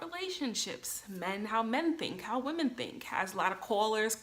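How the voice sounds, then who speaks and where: A woman speaks with an unremarkable speaking voice at a fairly high pitch. Her intonation is lively while her pace stays fairly slow. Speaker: vlogger. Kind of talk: casual vlog monologue. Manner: many filler ums.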